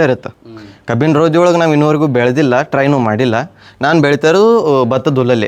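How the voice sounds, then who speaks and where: Against a quiet background, a man with a fairly high voice talks with ordinary pitch variation. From North Karnataka, India (Jamkhandi, Bagalkot district). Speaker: young mushroom farmer. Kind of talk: interview.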